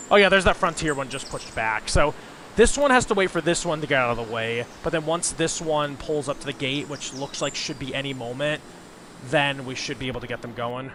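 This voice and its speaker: Over noticeable background noise, a man with a fairly high voice talks at a fairly quick pace with ordinary pitch variation. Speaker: gaming video creator. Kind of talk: gameplay commentary. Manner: casual.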